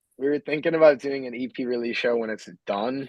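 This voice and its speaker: Talking at a fairly quick pace, a man has an American accent. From Massachusetts, near Boston. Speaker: metal band vocalist. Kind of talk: casual podcast interview.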